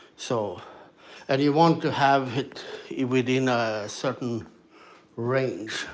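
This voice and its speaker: A man's medium-pitched voice with a Swedish accent, very slow with long, frequent pauses and ordinary pitch variation, amid noticeable background noise. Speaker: ham radio operator streamer. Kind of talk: casual live stream talk. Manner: halting, many fillers.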